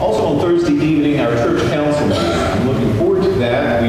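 Amid strong room echo and noticeable background noise, a man talks at a fairly quick pace. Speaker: minister. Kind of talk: church announcements. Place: church.

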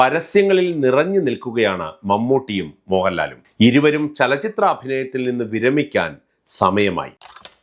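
A man with a medium-pitched voice speaks with very wide pitch swings. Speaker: YouTube commentator. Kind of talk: scripted narration.

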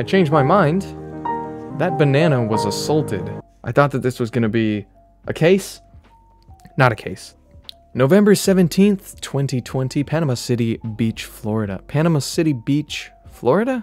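A man at a moderate pace with long, frequent pauses, faint background music, and a dry sound with no echo. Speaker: streamer. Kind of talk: comedic commentary and reading aloud. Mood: joking, mock-serious.

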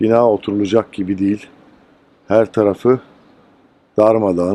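In a dry, close sound with no echo, a man with a dark, mellow tone talks at a moderate pace in a monotone, flat intonation. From Antakya, Hatay, Turkey. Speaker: dubbing artist. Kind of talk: on-location documentary narration to camera.

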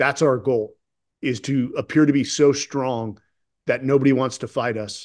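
Over a quiet background, a man speaks in a plain, everyday voice at medium pitch with fairly even intonation. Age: 40s. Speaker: retired Navy SEAL officer and author; podcast guest. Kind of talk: interview conversation. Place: home room. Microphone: webcam.

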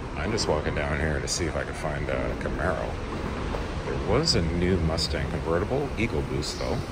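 Loud background noise surrounds a man speaking with ordinary pitch variation. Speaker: car rental vlogger. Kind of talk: casual vlog commentary. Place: garage. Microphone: phone near.

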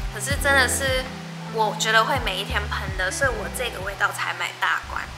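A woman speaks with music in the background. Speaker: vlogger. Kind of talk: casual vlog chat, unboxing. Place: home room.

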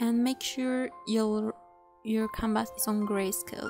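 With music in the background, the speaker uses lively intonation at a fairly slow pace. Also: woman. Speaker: digital artist. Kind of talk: software tutorial narration. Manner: casual, hesitant.

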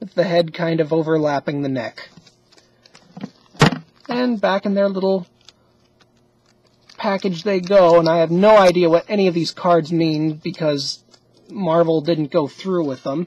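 At a fairly slow pace with long, frequent pauses, the voice has ordinary pitch variation and a slightly mellow tone.

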